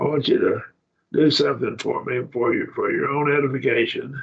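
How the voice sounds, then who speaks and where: A man speaks with an Oklahoma accent. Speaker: Bible class teacher. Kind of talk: Bible study lecture.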